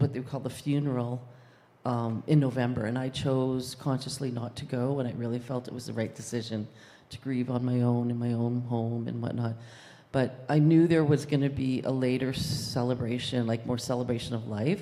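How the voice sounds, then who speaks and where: A woman speaks in a very deep, low pitch with a dark, mellow tone. Her delivery is monotone and flat, at a moderate pace. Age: 60s. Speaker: congregation member. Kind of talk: testimony.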